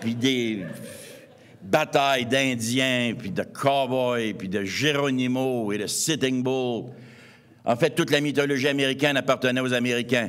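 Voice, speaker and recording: Audible room echo surrounds a man speaking at a fairly slow pace, his medium-pitched voice keeping fairly even intonation. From Quebec, east Montreal. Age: 60s. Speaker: anthropologist and author. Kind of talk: lecture.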